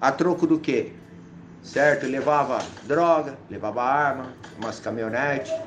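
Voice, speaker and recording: Against noticeable background noise, a fairly high-pitched man speaks at a fairly slow pace with fairly even intonation and long, frequent pauses. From São Paulo city, north zone (Brasilândia). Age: 40s. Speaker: former drug user sharing recovery story. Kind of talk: testimony.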